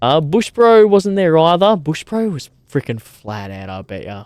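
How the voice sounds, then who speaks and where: A man with an Australian accent speaks at a moderate pace in an animated tone. The sound is dry and close, with no echo. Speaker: streamer. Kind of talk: casual chat. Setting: outdoors by a campfire.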